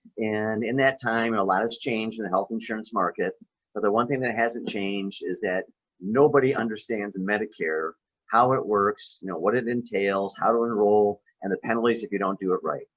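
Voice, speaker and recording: A man's medium-pitched voice at a fairly quick pace with fairly even intonation. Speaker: health insurance consultant. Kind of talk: webinar presentation. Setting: video webinar. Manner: fast.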